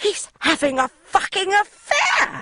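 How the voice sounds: An extremely high, squeaky put-on character voice is used here. It moves at a fairly slow pace.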